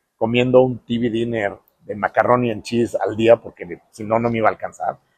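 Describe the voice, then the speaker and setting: A man with a Mexican accent, in a dry, close sound with no echo. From Mexico. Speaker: architect. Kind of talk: interview storytelling. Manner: hesitant fillers.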